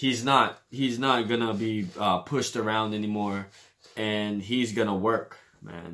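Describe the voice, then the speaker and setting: Bright and sharp in tone, a man's fairly low voice moves with ordinary pitch variation. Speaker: sports reaction youtuber. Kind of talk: casual commentary. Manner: hesitant, many fillers.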